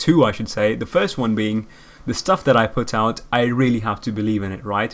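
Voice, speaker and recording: At a fairly quick pace, a man with a non-native accent speaks at medium pitch with ordinary pitch variation. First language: not English. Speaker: gaming video creator. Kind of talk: unscripted solo podcast. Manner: casual, rambling with fillers.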